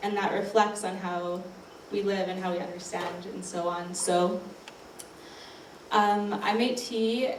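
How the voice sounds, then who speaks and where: With a Canadian accent, a woman speaks at medium pitch and fairly even intonation, with audible room echo and noticeable background noise. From Canadian Prairies (Regina, Saskatchewan). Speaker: artist. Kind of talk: panel talk. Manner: hesitant, many fillers.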